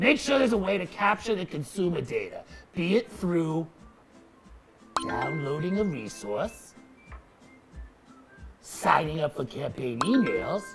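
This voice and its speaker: In a put-on character voice at middle pitch, the speaker moves at a moderate pace while music plays clearly in the background. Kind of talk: comedic explainer on social media marketing.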